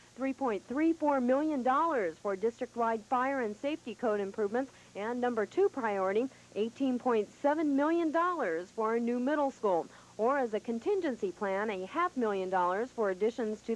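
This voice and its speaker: A woman with an unremarkable speaking voice, fairly high pitch, lively intonation and a moderate pace. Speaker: television news reporter. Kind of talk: TV news report voiceover. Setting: 1985 broadcast television recording.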